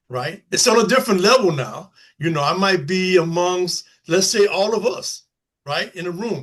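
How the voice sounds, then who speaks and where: This man's high-pitched voice has lively intonation and holds a moderate pace. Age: 60s. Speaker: formerly incarcerated person, panel guest. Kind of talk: panel discussion. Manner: halting, many filler phrases.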